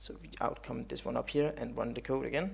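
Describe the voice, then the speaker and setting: A man talks at a moderate pace with vocal fry. The background is quiet. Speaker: programming tutorial creator. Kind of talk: tutorial. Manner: halting, many fillers.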